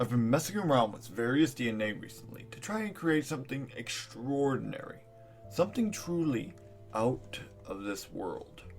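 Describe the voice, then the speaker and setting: Clear music plays in the background. A man with a medium pitch puts on a character voice at a moderate pace. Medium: audio drama.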